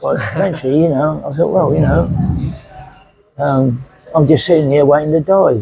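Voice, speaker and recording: A man with an East Anglian accent, fairly high in pitch, at a moderate pace with ordinary pitch variation. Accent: English (Suffolk). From England. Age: 80s+. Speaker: retiree. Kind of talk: interview answer.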